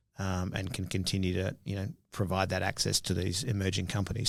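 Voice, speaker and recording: A man speaks very fast with an Australian accent at a fairly low pitch. The recording is very clean, and the background is silent. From Australia (Perth). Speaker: biotech entrepreneur. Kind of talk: interview.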